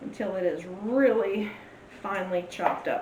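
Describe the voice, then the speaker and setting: A woman with an American accent speaks with lively intonation, with noticeable background noise and audible room echo around her. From Louisiana, US South. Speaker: cooking channel host, author. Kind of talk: cooking tutorial. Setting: home kitchen. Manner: casual, chatty.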